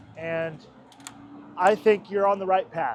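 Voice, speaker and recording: This man has a high pitch and fairly even intonation. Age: 30s. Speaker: vlogger and bike delivery rider. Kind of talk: casual vlog talk while riding.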